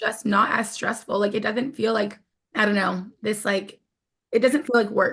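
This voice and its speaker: A woman's fairly high voice at a moderate pace, with fairly even intonation and an ordinary speaking voice. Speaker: podcast host. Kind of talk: casual chat.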